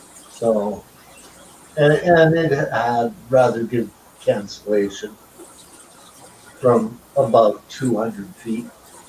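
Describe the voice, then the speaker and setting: Very slow and broken by long, frequent pauses, a man's speech sits at a medium pitch with ordinary pitch variation over noticeable background noise. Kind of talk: casual chat. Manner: loud.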